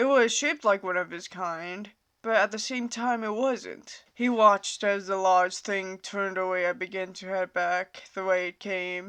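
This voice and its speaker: A woman talks in a plain, everyday voice at medium pitch with ordinary pitch variation. Her pace is fairly slow, and the background is quiet. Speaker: fanfiction author reading own story. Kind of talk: read story narration.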